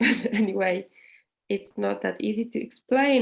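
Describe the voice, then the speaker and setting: Someone with a Polish accent speaks at a fairly slow pace. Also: woman. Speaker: workshop co-organizer. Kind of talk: webinar Q&A.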